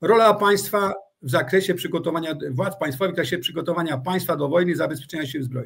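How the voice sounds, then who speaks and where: Very fast speech comes from a man with a high pitch and ordinary pitch variation. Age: 60s. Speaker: retired army general. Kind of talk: interview. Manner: halting.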